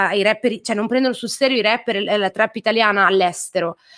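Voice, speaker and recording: A woman's fairly high-pitched voice with fairly even intonation, on a very clean recording with a silent background. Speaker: singer-songwriter. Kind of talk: interview. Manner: talkative.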